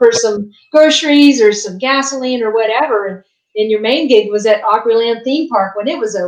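Here a woman with an American accent talks at a fairly quick pace. She has a normal speaking voice, fairly high in pitch with ordinary pitch variation. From West Virginia. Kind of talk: casual interview chat. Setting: video call.

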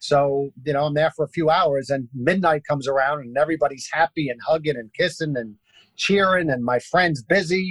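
In a New York accent, a man with a fairly high pitch and ordinary pitch variation comes across with a dry, close sound and no echo. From Brooklyn, New York. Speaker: basketball entertainer. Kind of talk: interview storytelling.

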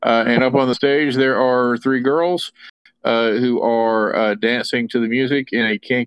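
Read aloud in a natural voice with fairly even intonation over a quiet background.

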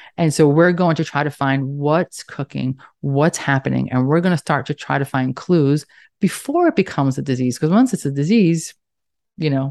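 In a New York accent, a woman with a very deep, low pitch speaks in an animated tone with ordinary pitch variation, the sound dry and close with no echo and the background quiet. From Staten Island, New York. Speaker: nurse practitioner and author. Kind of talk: casual interview conversation. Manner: animated, fast talker.

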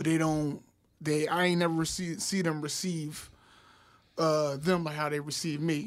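This voice carries an American accent. It moves at a fairly slow pace with monotone, flat intonation. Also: man, fairly high pitch for a man. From North Philadelphia. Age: young. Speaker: school health worker. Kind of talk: casual chat.

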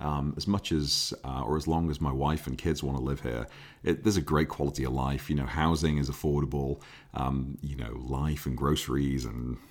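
The speaker moves at a fairly quick pace. Vocal fry runs through the voice. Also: man. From Liverpool, England. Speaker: car enthusiast YouTuber and podcaster. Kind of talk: casual solo podcast monologue. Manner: casual, filler-heavy.

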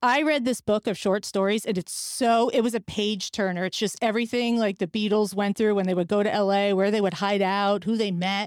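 A woman with an American accent, medium pitch and an animated tone, at a fairly quick pace with hardly any pauses and very even loudness, on a very clean recording that is dry and close with no echo and a silent background. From New Jersey. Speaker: podcast host. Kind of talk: casual chat.

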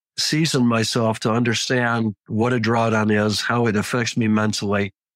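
With flat, monotone intonation, a man talks at a moderate speed. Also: dry, close sound with no echo. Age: 70s. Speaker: trader. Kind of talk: interview. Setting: live online discussion.

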